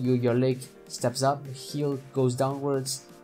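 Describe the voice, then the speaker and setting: With music in the background, a man at a medium pitch speaks with a non-native accent. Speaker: animator. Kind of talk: software tutorial narration. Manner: casual, hesitant.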